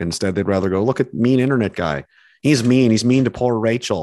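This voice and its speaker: Against a quiet background, a man with a Canadian accent speaks very fast, his pitch varying in an ordinary way. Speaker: dissident show host, ex-military. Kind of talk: casual interview chat. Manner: animated, righteous anger.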